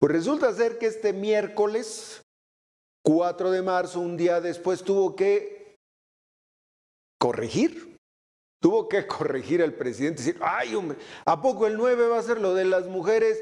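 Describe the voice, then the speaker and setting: A man speaks at a fairly slow pace with lively intonation, leaving long, frequent pauses. The background is quiet. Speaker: news commentator. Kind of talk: commentary. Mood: critical, ironic. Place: studio. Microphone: lapel.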